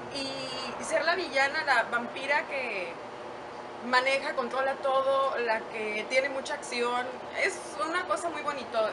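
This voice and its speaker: The woman speaks at a fairly slow pace. Noticeable background noise runs underneath. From Mexico, San Luis Potosí. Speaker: radio host, TV presenter and actress. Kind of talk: casual interview. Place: garden.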